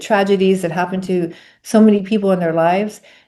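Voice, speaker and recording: Against a quiet background, a woman speaks in a plain, everyday voice at a medium pitch, with fairly even intonation and a fairly quick pace. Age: 60s. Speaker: yoga instructor and sound healer, near-death experiencer. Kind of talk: interview, spiritual testimony. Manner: repeats words, self-corrects.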